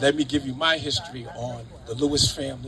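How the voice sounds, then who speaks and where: A man speaks with an American accent at a moderate pace. Noticeable background noise runs behind him. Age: 60s. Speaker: city councillor. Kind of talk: ceremony speech. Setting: outdoors. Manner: halting; too quiet.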